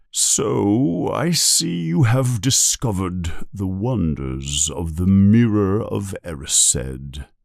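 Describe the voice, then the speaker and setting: A man's put-on character voice, very deep and low, very slow, with hardly any pauses. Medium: read story. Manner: calm, gentle, measured.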